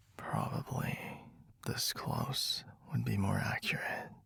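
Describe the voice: A man whispers in a put-on character voice with vocal fry. He goes at a slow pace.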